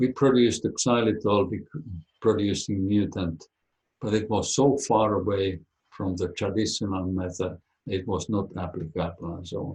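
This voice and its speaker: Speaking with a Finnish accent, a man with a fairly low, somewhat breathy voice keeps a moderate pace and ordinary pitch variation. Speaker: biologist. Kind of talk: webinar talk and Q&A.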